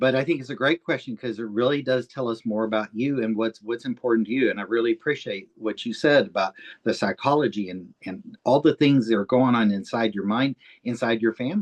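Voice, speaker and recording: Recorded in a dry, close sound with no echo, a man speaks in a normal speaking voice. His pace is fairly quick, at a medium pitch with ordinary pitch variation. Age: 60s. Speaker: author interviewing another author. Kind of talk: interview. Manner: conversational, warm.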